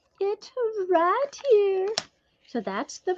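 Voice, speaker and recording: A woman at a very slow pace. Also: dry, close sound with no echo. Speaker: craft YouTuber. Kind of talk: casual chat while crafting.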